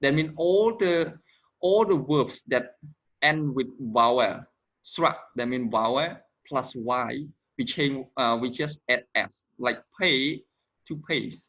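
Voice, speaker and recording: With a non-native accent, a man speaks at a very slow pace in a fairly high pitch, using lively intonation and long, frequent pauses. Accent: non-native English pronunciation. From Cambodia. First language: Khmer. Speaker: English teacher. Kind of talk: grammar lesson.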